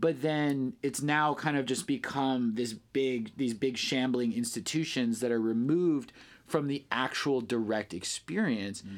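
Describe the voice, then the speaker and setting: A man with a normal speaking voice talks at a fairly slow pace and medium pitch, with ordinary pitch variation, hardly any pauses and very even loudness. The recording is very clean, with a silent background. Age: 30s. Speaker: ecstatic dance DJ. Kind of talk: casual interview chat.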